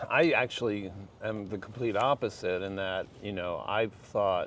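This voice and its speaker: With an American accent, a man has an unremarkable speaking voice, a fairly low pitch, fairly even intonation and a moderate pace. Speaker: LGBTQ rights activist. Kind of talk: casual interview chat.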